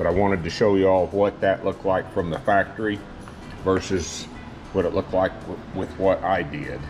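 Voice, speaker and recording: Over clear music in the background, a man speaks at a moderate pace. His pitch is very deep and low, his intonation fairly even. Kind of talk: tutorial. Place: workshop.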